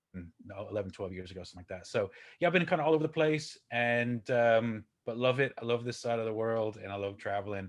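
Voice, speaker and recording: In an American accent, a man talks at a fairly quick pace with a medium pitch and ordinary pitch variation, over a quiet background. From Texas, Houston. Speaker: business coach. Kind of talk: podcast interview.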